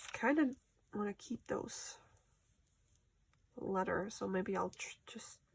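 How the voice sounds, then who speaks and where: The woman's voice has a somewhat breathy quality. She talks very slowly. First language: German. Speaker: crafter. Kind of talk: casual craft vlog. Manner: chatty, thinking aloud.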